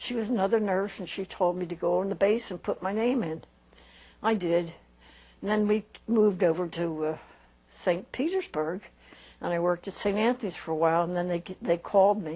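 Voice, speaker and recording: A woman with an American accent speaks at a medium pitch in a dark, mellow tone with ordinary pitch variation. She moves at a fairly quick pace yet takes long, frequent pauses. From Philadelphia, Pennsylvania, US. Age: 80s+. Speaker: retired nurse. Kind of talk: life-story interview. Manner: halting, hesitant.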